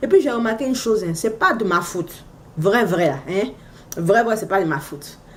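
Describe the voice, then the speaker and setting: With lively intonation, a woman speaks at a moderate pace against noticeable background noise. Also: medium pitch for a woman. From Africa. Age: 30s. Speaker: vlogger, mother. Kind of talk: casual vlog monologue. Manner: animated, exclamatory; loud when excited.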